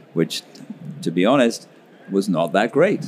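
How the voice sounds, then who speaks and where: A man with a British accent is speaking. His pace is moderate. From UK. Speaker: pediatric anesthesiologist. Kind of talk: interview.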